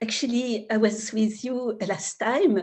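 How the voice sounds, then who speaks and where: A woman with a French accent, at a very slow pace and with fairly even intonation. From France, Paris. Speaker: spiritual teacher. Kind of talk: spiritual talk. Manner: halting.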